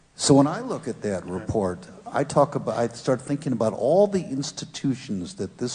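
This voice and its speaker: Noticeable background noise is present throughout. The delivery is fairly slow. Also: man. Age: 70s. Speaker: audience member at panel discussion. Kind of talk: panel discussion.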